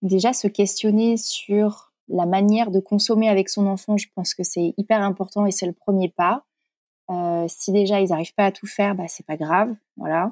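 At a moderate pace and medium pitch, a woman keeps her intonation fairly even. The sound is dry and close with no echo, on a very clean recording with a silent background. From France, Corrèze. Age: 30s. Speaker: blogger and content creator, former nurse. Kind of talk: casual interview. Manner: hesitant, many fillers.

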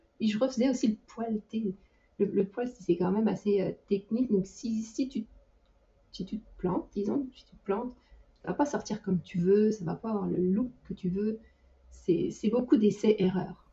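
Speaking at a fairly slow pace, a woman has a fairly high pitch and ordinary pitch variation. Her voice is somewhat breathy, with big swings in loudness. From France. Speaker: 3D artist and team lead. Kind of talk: casual interview. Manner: hesitant, frequent repetitions; laughs often.

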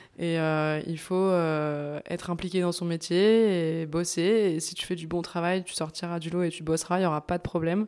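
The voice moves at a moderate pace with fairly even intonation on a very clean recording with a silent background. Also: woman. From France, Bourg-en-Bresse (Ain). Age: 20s. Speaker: osteopath. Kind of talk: casual interview. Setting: osteopathy practice.

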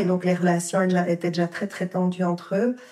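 A woman's fairly low-pitched voice comes through in a very clean recording with a silent background. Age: 40s. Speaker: primary school teacher. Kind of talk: testimony.

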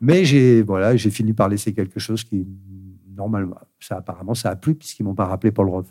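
Racing at a very fast pace, a man speaks in a fairly low, dark, mellow voice with ordinary pitch variation. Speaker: voice actor. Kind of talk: casual chat. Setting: studio.

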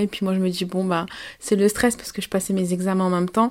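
A woman's medium-pitched voice at a fairly quick pace, monotone and flat in intonation, on a very clean recording with a silent background. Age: 20s. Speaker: nursing student and mother. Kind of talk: testimony.

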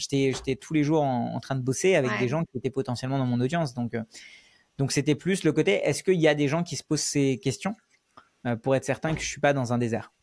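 Ordinary pitch variation at a fairly quick pace, in a dry, close sound with no echo. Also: man, fairly high pitch for a man. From Paris suburbs, France (born in India). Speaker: YouTuber and no-code trainer. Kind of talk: interview. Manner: hesitant, many fillers.

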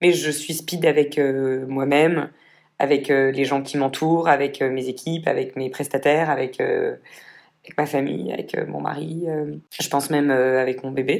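In a very deep, low pitch, a woman speaks with monotone, flat intonation and big swings in loudness. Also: moderate pace. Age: 30s. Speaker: entrepreneur. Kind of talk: casual chat.

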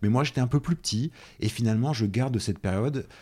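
A very clean recording with a silent background captures a man speaking in a dark, mellow tone. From central France, Nièvre. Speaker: quantum physics lecturer and researcher. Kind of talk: casual interview. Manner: halting, many fillers and repetitions.

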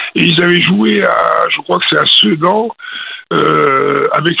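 A man speaks at a very slow pace. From France (Morocco, Lyon, Bordeaux). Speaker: retired football goalkeeper. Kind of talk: interview. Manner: halting.

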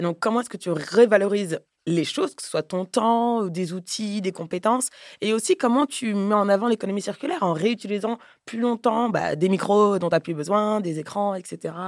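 A woman's unremarkable speaking voice at medium pitch, with ordinary pitch variation and a moderate pace, in a dry, close sound with no echo and a very clean recording against a silent background. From Paris, France. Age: 30s. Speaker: podcaster and entrepreneur. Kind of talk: casual chat.

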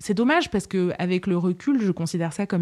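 The pace is fairly quick, and the pitch varies in an ordinary way. The background is silent and the recording very clean. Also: woman. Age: 30s. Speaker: psychotherapist, patient telling her story. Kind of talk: testimony. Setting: her apartment. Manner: articulate, with hesitations.

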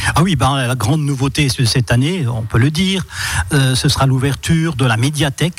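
A man speaks at a medium pitch with ordinary pitch variation. His pace is moderate, and background noise is noticeable. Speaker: local councillor for culture, festival organizer. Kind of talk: radio interview. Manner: talkative, explanatory, a bit hesitant.

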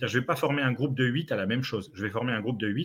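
Over a very clean recording with a silent background, a man speaks at a medium pitch. His voice is somewhat breathy, with ordinary pitch variation. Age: 30s. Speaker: sales trainer. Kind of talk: casual interview.

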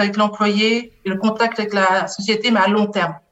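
Here a woman talks with a slight Belgian accent. Her pace is fairly slow and her intonation fairly even. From Belgium. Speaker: HR business partner. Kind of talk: interview.

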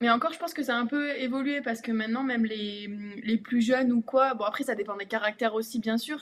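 A very fast pace with fairly even intonation. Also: woman, fairly high pitch for a woman. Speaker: professional basketball player. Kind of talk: casual interview. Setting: live stream.

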